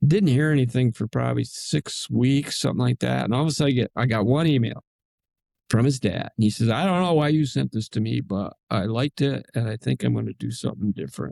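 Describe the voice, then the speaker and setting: Against a quiet background, a man with an American accent talks at a very fast pace in a dry, close sound with no echo. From upstate New York, rural. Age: 80s+. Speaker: retired attorney, Marine veteran, author. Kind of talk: interview chat.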